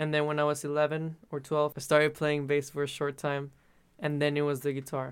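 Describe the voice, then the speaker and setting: On a very clean recording with a silent background, a man with a Spanish accent and a fairly high pitch talks at a moderate pace in a monotone, flat intonation. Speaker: musician. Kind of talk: interview.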